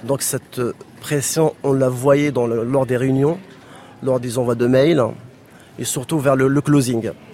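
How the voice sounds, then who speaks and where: Long, frequent pauses break up this man's very slow speech. His medium-pitched voice holds a fairly even intonation. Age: 40s. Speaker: former telecom employee. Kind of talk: testimony.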